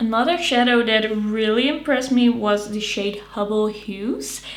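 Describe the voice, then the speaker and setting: Over noticeable background noise, a woman speaks. Her voice is fairly high and her pace fairly slow. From Netherlands. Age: 20s. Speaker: beauty YouTuber. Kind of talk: casual talk to camera. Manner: upbeat.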